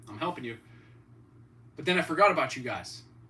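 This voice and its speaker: The speaker has an American accent and very wide pitch swings. Noticeable background noise runs underneath. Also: man. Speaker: fitness and cooking streamer. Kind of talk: casual livestream chat.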